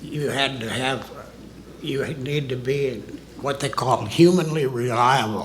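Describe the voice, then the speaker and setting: A man with an American accent, fairly high in pitch and fairly slow, with ordinary pitch variation, audible room echo and noticeable background noise. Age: 80s+. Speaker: retired military officer, witness. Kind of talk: testimony.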